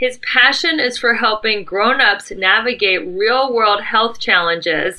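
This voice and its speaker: Fairly slow speech from a woman with a fairly high pitch, noticeable background noise behind it. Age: 50s. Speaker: podcast host, success mentor. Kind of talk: casual interview.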